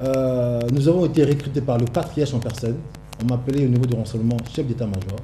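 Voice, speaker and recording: Over noticeable background noise and audible room echo, a man at medium pitch speaks fairly quickly with fairly even intonation. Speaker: political activist. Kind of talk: TV interview. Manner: soft-spoken.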